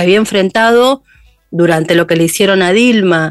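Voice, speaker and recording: The dry, close sound with no echo carries a woman's medium-pitched voice with ordinary pitch variation. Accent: Rioplatense. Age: 50s. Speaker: journalist and podcaster. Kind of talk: interview.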